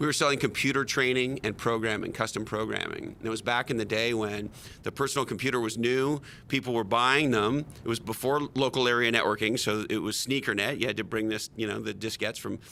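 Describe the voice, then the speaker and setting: Here a man talks at a fairly quick pace in a bright, sharp tone. His intonation stays fairly even. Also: medium pitch for a man. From Quebec, Montreal. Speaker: tech marketing executive and author. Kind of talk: podcast interview.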